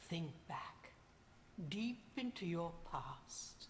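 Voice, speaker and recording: Someone whispers in a put-on character voice over clear background noise. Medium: video game. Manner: cryptic, cackling.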